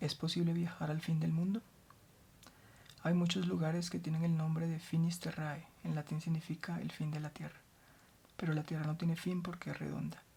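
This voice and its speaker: Soft-spoken and calm, a woman with a very deep, low pitch and a dark, mellow, somewhat breathy tone speaks at a moderate pace in a monotone, flat intonation, with long, frequent pauses. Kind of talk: soft-spoken ASMR book reading for sleep. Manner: soft-spoken, calm.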